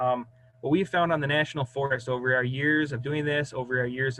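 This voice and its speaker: Speaking at a moderate pace, a man uses a normal speaking voice with medium pitch and fairly even intonation. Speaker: hydrologist. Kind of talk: presentation.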